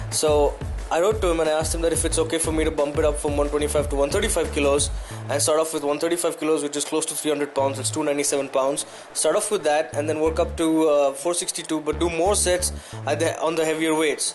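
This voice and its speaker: Noticeable background noise fills the clip as a man speaks very fast. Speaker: fitness vlogger, powerlifter. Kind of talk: casual vlog talk. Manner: animated.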